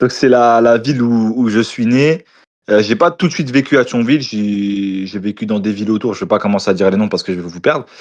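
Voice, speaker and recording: An ordinary speaking voice, with ordinary pitch variation, comes through over a quiet background. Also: man, medium pitch for a man, fairly quick pace. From eastern France, Moselle (Lorraine). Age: 20s. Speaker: food content creator. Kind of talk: casual interview chat.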